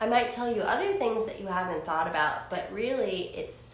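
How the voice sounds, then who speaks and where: There is audible room echo as a woman speaks. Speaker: psychic channel and spiritual healer. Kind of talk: channeled spiritual monologue. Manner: rambling, with frequent fillers.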